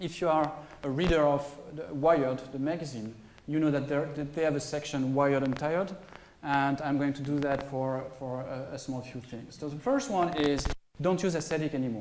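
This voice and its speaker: A man talks at a moderate pace with fairly even intonation. Light background noise and audible room echo are present. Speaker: conference presenter. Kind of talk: technical talk. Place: hall.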